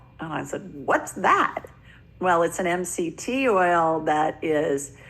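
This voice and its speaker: At a very slow pace, a woman speaks at a fairly low pitch with ordinary pitch variation. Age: 60s. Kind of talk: interview.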